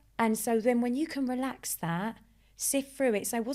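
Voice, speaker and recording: A woman with an Essex accent speaks at a high pitch and a moderate pace in an animated tone. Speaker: life coach and hypnotist. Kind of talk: podcast interview.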